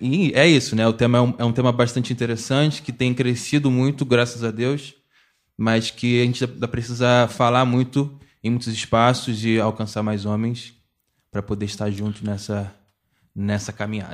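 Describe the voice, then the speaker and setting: This very clean recording has a silent background. A man uses an ordinary speaking voice at a moderate pace with fairly even intonation. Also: medium pitch for a man. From Baixada Fluminense, Rio de Janeiro. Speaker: geography teacher and researcher. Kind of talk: podcast panel discussion.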